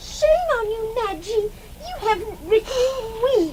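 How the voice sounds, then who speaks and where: A woman does a put-on character voice at an extremely high pitch. She talks at a fairly slow pace over light background noise. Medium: old radio play. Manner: chatty, light.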